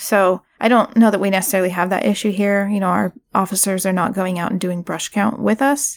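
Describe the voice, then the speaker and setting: A woman with an American accent talks at a fairly quick pace and a medium pitch, with fairly even intonation and hardly any pauses. The recording is very clean, with a silent background and a dry, close sound with no echo. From Brookings, Oregon. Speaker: nonprofit director. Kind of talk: interview. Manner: hesitant, many fillers.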